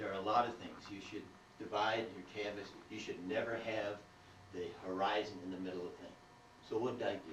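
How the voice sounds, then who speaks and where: A man with a fairly low pitch and monotone, flat intonation speaks at a fairly quick pace, with long, frequent pauses, big swings in loudness, noticeable background noise and audible room echo. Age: 60s. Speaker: painter giving a demonstration. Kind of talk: live painting demo. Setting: art gallery with small audience. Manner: casual, halting with fillers.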